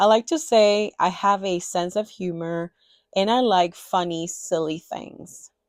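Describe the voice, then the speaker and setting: A woman with a Spanish accent speaks at a very slow pace with ordinary pitch variation. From Dominican Republic, Santiago. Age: 30s. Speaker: cross-stitch designer and video creator. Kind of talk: personal introduction vlog, partly read aloud. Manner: partly reading from a script.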